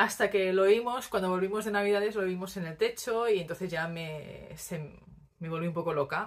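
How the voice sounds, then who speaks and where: Against a quiet background, a woman speaks at a moderate pace with ordinary pitch variation and big swings in loudness. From Spain, Barcelona; Catalonia, Spain. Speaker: knitting podcaster. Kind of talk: casual monologue to camera; casual vlog chat. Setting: home recording on tripod. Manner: hesitant, many fillers. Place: home room. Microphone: phone near.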